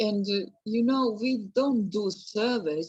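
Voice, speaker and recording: Speaking at a very slow pace, a woman with a Serbian accent uses a fairly high pitch and ordinary pitch variation. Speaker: museum educator. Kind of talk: Q&A discussion. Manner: halting, hesitant.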